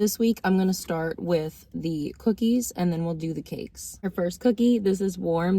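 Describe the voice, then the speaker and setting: Soft-spoken and somewhat breathy, a woman talks at a moderate pace in a fairly low pitch with a dark, mellow tone and ordinary pitch variation. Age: 30s. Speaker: food reviewer vlogger. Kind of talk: casual taste-test review. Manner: soft-spoken, talking low.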